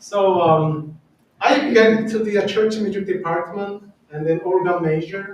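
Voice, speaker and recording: A man with a Korean accent speaks at a fairly slow pace and a high pitch, with ordinary pitch variation. Audible room echo surrounds the voice. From South Korea. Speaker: church organist. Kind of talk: personal testimony talk. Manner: halting.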